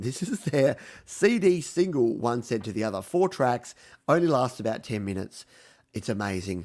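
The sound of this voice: A man puts on a raspy character voice with very wide pitch swings. He keeps a medium pitch and a moderate pace.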